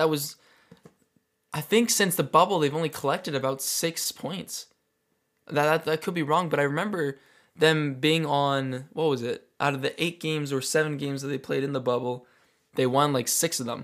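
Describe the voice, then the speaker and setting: A man with a western Canadian accent, fairly high pitch, ordinary pitch variation and moderate pace, on a very clean recording with a silent background. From Calgary, Alberta, Canada. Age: 20s. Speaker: soccer podcast host. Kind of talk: solo podcast commentary. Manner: casual, with frequent restarts and fillers.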